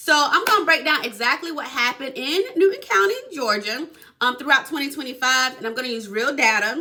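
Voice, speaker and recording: Over noticeable background noise, a woman speaks in a raised, projected voice, high-pitched and animated, with lively intonation at a fairly quick pace. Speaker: real estate agent. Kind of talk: casual explainer video.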